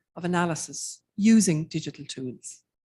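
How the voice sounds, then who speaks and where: In an Irish accent, a woman speaks in a somewhat breathy voice. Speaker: academic researcher. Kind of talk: conference keynote lecture. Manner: hesitant, many fillers.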